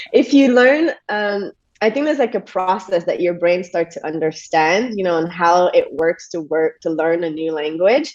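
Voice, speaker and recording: In a Quebec accent, a woman speaks at a moderate pace with a fairly low pitch. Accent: French Canadian accent in English. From Quebec, Montreal. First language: French. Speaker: yoga teacher and stress coach. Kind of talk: podcast interview conversation. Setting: video call.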